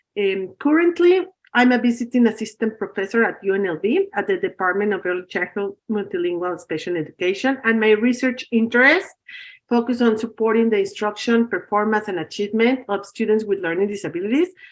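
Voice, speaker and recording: A woman with a Spanish accent speaks at a fairly quick pace in a fairly high voice. Her intonation is lively. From Mexico. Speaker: professor. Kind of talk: lecture. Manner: halting.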